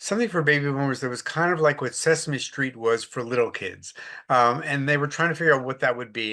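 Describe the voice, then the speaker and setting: Against a quiet background, a man talks at a very fast pace, fairly high in pitch, with ordinary pitch variation and a bright, sharp tone. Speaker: retired editor and financial writer. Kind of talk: interview. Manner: conversational, with frequent fillers.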